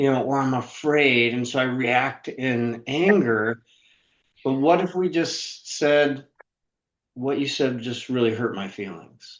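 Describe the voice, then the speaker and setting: A man with a medium-pitched voice talks at a very slow pace, using ordinary pitch variation. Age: 60s. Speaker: author and sales trainer. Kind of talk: interview.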